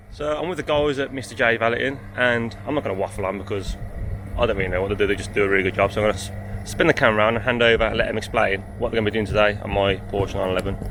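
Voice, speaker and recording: Through noticeable background noise, a man with a fairly low pitch talks at a very fast pace with ordinary pitch variation. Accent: slight Birmingham. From English Midlands, Birmingham. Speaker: car vlogger. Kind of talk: vlog to camera.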